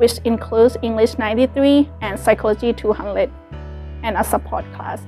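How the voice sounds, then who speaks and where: Moderate-paced speech with a Thai accent, big swings in loudness, and faint background music. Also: woman. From Thailand. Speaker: college student. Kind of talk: scripted personal story read. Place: classroom. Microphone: lapel.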